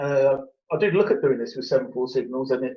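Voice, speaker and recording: The speaker is a man with an English accent. He talks at a fairly quick pace. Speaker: model railway enthusiast showing his layout. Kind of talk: casual chat.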